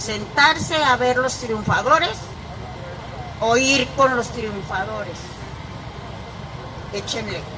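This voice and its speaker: Speaking at a very slow pace with long, frequent pauses, a high-pitched woman is heard amid noticeable background noise and audible room echo. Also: ordinary pitch variation. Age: 70s. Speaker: speaker addressing students. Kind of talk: motivational talk.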